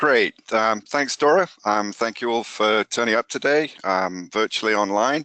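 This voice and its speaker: A man with a British accent speaks at medium pitch with ordinary pitch variation and a bright, sharp tone, the sound dry and close with no echo. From UK. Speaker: microbiology professor. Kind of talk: lecture. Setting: presenting online from home. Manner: hesitant, many fillers.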